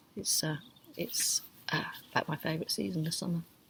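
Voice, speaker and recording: Soft-spoken delivery at a fairly quick pace. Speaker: creative writing workshop leader. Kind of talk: online workshop talk.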